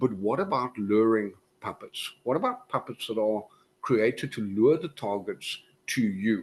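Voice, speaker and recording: The speaker has a South African accent and keeps a moderate pace. The background is quiet. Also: man. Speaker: cybersecurity conference speaker. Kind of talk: conference talk.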